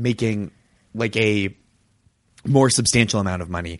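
An ordinary speaking voice from a man with an American accent, ordinary pitch variation and a fairly quick pace over a quiet background. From US Northeast, Boston. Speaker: comedian and TV writer. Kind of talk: casual chat.

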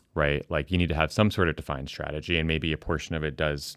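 On a very clean recording with a silent background, a man speaks with a very deep, low pitch and vocal fry. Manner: animated.

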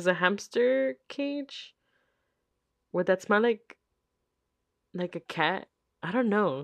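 With long, frequent pauses and lively intonation, the voice comes over a quiet background. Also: woman. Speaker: podcast host. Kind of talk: casual solo Q&A chat.

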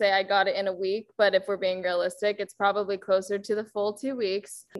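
A woman speaks with a West Coast American accent at medium pitch. The recording is very clean, with a silent background. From California, Bay Area. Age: 20s. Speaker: coaching client, graduate student. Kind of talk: interview.

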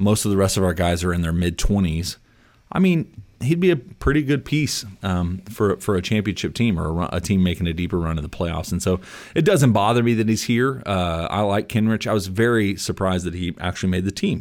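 A plain, everyday voice with ordinary pitch variation goes at a fairly quick pace on a very clean recording with a silent background. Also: man, fairly low pitch for a man. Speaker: co-host, basketball podcaster. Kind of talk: casual sports chat.

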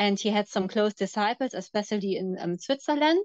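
Against a quiet background, a woman speaks at a medium pitch in a dry, close sound with no echo. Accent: German. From Germany. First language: German. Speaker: former cult member. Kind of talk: interview testimony. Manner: hesitant, many fillers.

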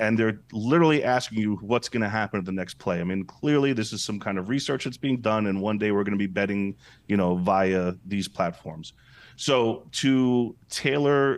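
A man talks in an American accent at a moderate pace. His is a normal speaking voice with ordinary pitch variation. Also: quiet background. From Brooklyn, New York. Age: 40s. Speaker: entrepreneur. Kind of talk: interview.

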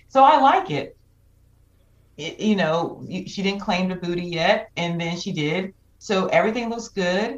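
Speaking at a fairly slow pace with an American accent, a woman in an unremarkable speaking voice keeps a medium pitch with ordinary variation while her loudness swings widely. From Georgia, US South. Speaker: podcast guest, Clubhouse moderator. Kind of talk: casual chat.

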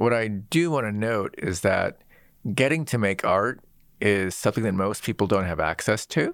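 A man with an American accent has a plain, everyday voice, a fairly low pitch and lively intonation. He talks at a moderate pace in a very clean recording with a silent background. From US Pacific Northwest (Seattle). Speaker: designer and technologist, author. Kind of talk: interview.

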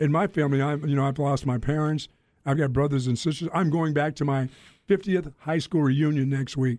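In a normal speaking voice, a man talks fairly quickly with an American accent and a fairly high pitch. His intonation is fairly even, his loudness very even, and the background quiet. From Greensboro, North Carolina. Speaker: radio host. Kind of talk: casual chat.

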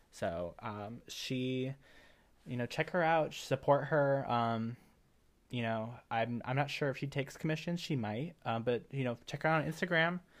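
A soft-spoken, mumbling man with an American accent, on a very clean recording with a silent background. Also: medium pitch for a man, ordinary pitch variation, moderate pace. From Cuban American, US. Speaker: podcast co-host. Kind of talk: casual chat between co-hosts. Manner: shy, soft-spoken, mumbles.

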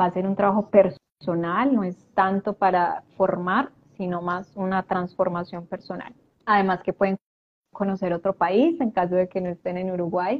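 Speaking at a moderate pace, a woman has an ordinary speaking voice with medium pitch and fairly even intonation. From Colombia, Medellín. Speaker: life coach and transgenerational therapist. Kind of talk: live-stream interview. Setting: live video stream.

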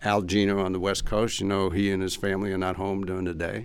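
Here a man with an American accent speaks at a fairly low pitch. His intonation is monotone and flat, in a very clean recording with a silent background. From New York, Queens. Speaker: former customs official and trade consultant. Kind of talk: interview.

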